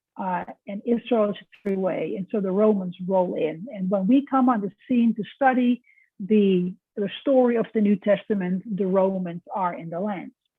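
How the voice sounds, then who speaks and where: With a Dutch accent, a woman of medium pitch speaks at a moderate pace. Her pitch varies in an ordinary way. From Netherlands. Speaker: professor. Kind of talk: lecture.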